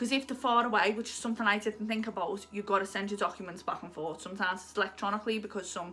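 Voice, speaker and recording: Talking at a very fast pace in a Liverpool accent, a woman with a medium pitch sounds animated. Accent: Liverpool (Scouse). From Liverpool, England. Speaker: lifestyle YouTuber. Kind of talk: casual advice vlog.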